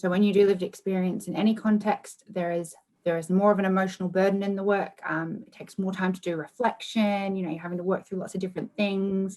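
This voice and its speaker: A woman with an Australian accent speaks very fast at a medium pitch, monotone and flat, with hardly any pauses. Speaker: research manager. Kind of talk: conference Q&A.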